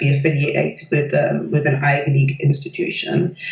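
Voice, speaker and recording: A woman with a London accent and a very deep, low pitch talks at a fairly quick pace over music in the background. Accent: London British. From London, England. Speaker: doctoral researcher. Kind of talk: interview testimonial. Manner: hesitant, many fillers.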